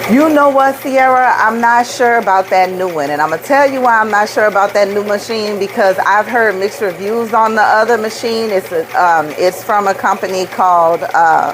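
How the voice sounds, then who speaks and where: In a New Orleans accent, a woman speaks at a fairly high pitch with an animated tone and ordinary pitch variation. Noticeable background noise can be heard. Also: moderate pace, hardly any pauses. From New Orleans, US South. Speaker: rhinestone craft business owner, livestreamer. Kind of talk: live stream chat and craft demo. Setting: live video stream. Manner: animated, chatty.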